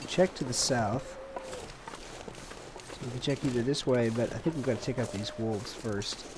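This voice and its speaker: A man with a medium pitch and a relaxed tone talks at a moderate pace, with ordinary pitch variation. Long, frequent pauses break up his speech, and noticeable background noise runs underneath. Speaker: gaming streamer. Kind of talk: let's play commentary. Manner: casual, relaxed.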